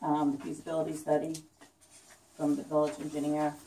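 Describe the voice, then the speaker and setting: A woman talks at a fairly quick pace in a very deep, low voice. Noticeable background noise runs behind her. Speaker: village mayor chairing meeting. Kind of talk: public meeting, chairing agenda items. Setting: village board meeting room with public. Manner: soft-spoken; hesitant, many fillers.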